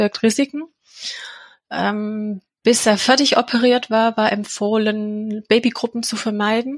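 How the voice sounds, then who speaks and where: A woman speaks at a moderate pace with a fairly high pitch and a monotone, flat intonation. Her voice is somewhat breathy, and the sound is dry and close with no echo. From England. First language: English (speaking German). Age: 40s. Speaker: charity founder and mother of a sick child. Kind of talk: personal interview. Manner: hesitant, many filler sounds.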